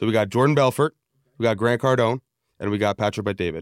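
The recording is very clean and dry, close-sounding with no echo and a silent background. A man speaks fairly quickly at a medium pitch, with ordinary pitch variation. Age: 20s. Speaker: podcast co-host, sales director. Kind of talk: casual interview chat.

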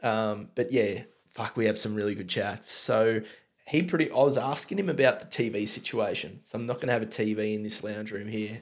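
Here is a man with a medium-pitched voice. He talks at a moderate pace with ordinary pitch variation. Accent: strong Australian. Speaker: podcast host and beer reviewer. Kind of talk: casual chat.

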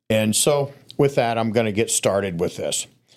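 A man with an unremarkable speaking voice, medium pitch and ordinary pitch variation, at a fairly slow pace, on a very clean recording with a silent background. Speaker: storyteller guest. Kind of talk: storytelling.

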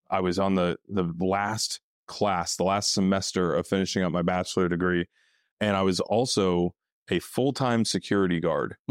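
A man with an American accent speaks at a very deep, low pitch and a moderate pace, his loudness very even. The recording is very clean with a silent background and a dry, close sound with no echo. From Northeast Texas. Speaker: former Marine, startup worker. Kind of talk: casual interview conversation.

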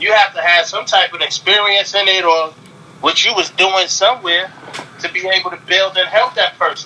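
With an American accent, a man speaks in a raised, projected voice that is high for a man, keeping a monotone, flat intonation at a moderate pace against noticeable background noise. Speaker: rapper. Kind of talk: casual interview. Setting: remote call.

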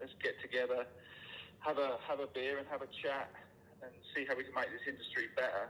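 With a British accent, a man talks at a fairly quick pace but takes long, frequent pauses. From United Kingdom. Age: 40s. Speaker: general contractor, business owner. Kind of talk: casual chat. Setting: phone call.

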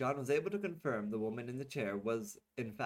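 Over a quiet background, the text is read in an unforced reading voice.

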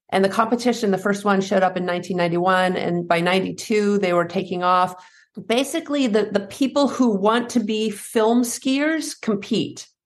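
Against a quiet background, a woman with an American accent speaks in a normal speaking voice at a moderate pace. Her pitch is medium, with ordinary variation. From US Northeast, New Hampshire. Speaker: fear and anxiety coach, former pro skier. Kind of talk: interview conversation.

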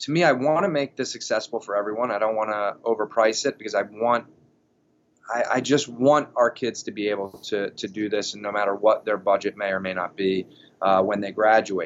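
In an ordinary speaking voice, a man talks at a moderate pace and fairly low pitch with ordinary pitch variation. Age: 30s. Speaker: college strength and conditioning coach. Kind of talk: casual interview.

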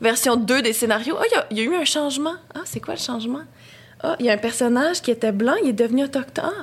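A woman with a Quebec accent speaks at a very fast pace, high in pitch and with ordinary pitch variation. Background noise is noticeable. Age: 20s. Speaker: film student. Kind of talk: casual chat.

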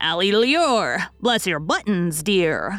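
A croaky, put-on character voice at a middle pitch and a very slow pace. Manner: grave, solemn.

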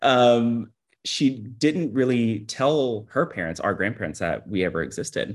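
A man talks at a medium pitch with lively intonation and a fairly slow pace. He has a normal speaking voice. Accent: American. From Texas, Houston. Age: 30s. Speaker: podcast guest. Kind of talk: casual chat. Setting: video call.

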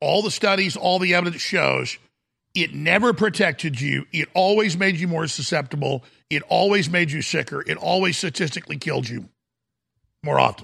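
A man's put-on character voice, high-pitched and raspy, at a moderate pace. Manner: deliberate.

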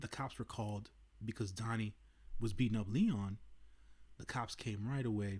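A man's fairly low, somewhat breathy voice with fairly even intonation, a moderate pace and long, frequent pauses. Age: 30s. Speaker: movie review podcaster. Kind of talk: solo movie review monologue. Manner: casual, many filler words.

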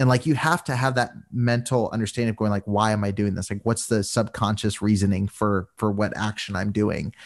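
Over a quiet background, a man with a normal speaking voice and a fairly low pitch talks at a fairly quick pace with hardly any pauses and ordinary pitch variation. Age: 20s. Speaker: podcast guest, abuse awareness advocate and storyteller. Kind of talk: casual interview conversation.

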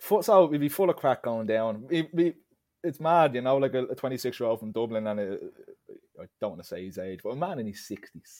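Talking at a fairly quick pace in an Irish accent, a man shows very wide pitch swings and big swings in loudness. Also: medium pitch for a man. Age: 20s. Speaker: football podcast co-host. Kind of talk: casual chat.

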